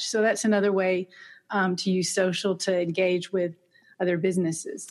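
A woman speaks at a medium pitch with fairly even intonation. Hers is a plain, everyday voice. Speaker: massage therapist and marketing teacher. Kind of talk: interview, casual conversation.

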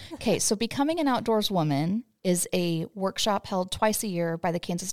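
A woman with an American accent talks at a moderate pace in a normal speaking voice and medium pitch. The recording is very clean with a silent background and a dry, close sound with no echo. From US West Coast. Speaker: podcast host. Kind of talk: casual chat.

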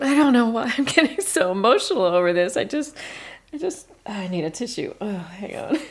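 A woman's put-on character voice, fairly high-pitched, with a slightly husky edge, big pitch swings and a fairly quick pace

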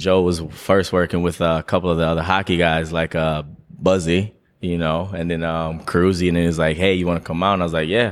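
On a very clean recording with a silent background, a man with a very deep, low pitch speaks at a fairly quick pace in a flat monotone. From Jamaica. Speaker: personal trainer and rugby player. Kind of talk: casual chat. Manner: casual, filler-heavy.

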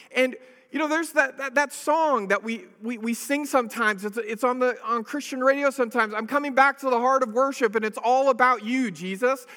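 A man's extremely high, bright and sharp voice, raised and projected, at a fairly quick pace with hardly any pauses and ordinary pitch variation. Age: 40s. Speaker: pastor. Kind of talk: sermon. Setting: church. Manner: halting.

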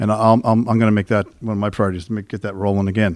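Very fast in pace, a man talks with a fairly low pitch. The recording is very clean, with a silent background. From Halifax North End, Nova Scotia. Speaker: municipal election candidate, former councillor. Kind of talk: candidates' debate. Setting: public debate with live audience.

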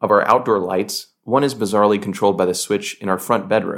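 Over a very clean recording with a silent background, a man with an American accent talks at a very fast pace. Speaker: doctor, podcast host. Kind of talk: scripted narration.

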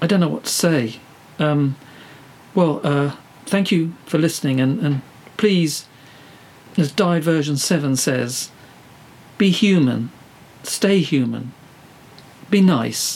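Noticeable background noise surrounds a man with a fairly high pitch who speaks at a very slow pace with long, frequent pauses. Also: ordinary pitch variation. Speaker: podcast host. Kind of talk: scripted comedy interview. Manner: flustered, hesitant, polite.

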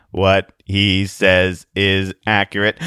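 A man does a robotic put-on character voice, fairly low in pitch with monotone, flat intonation.

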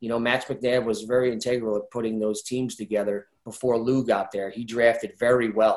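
With a New Jersey accent, the speech runs at a moderate pace with hardly any pauses and a monotone, flat intonation. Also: man, medium pitch for a man. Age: 50s. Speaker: retired ice hockey player and youth coach. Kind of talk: interview.

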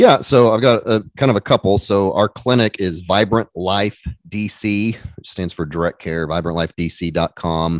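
Speaking at a fairly slow pace in a plain, everyday voice, a man with an American accent has a fairly low pitch and ordinary pitch variation. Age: 40s. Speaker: family doctor, podcaster. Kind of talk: casual interview.

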